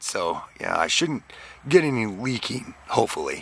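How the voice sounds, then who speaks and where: Noticeable background noise runs under the clip. A man talks at a medium pitch. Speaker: DIY mechanic YouTuber. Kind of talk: tutorial.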